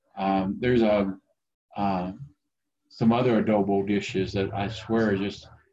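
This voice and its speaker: Monotone, flat intonation from a man with an American accent, fairly low in pitch, at a moderate pace, with music in the background. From Oklahoma. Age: 50s. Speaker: IT consultant. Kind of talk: casual interview. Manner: halting, many fillers.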